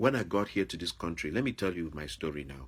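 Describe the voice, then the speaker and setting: The speaker has a Nigerian accent and an animated, bright, sharp tone with some vocal fry, talking at a fairly quick pace in a very clean recording with a silent background. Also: man. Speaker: YouTuber, former high school teacher.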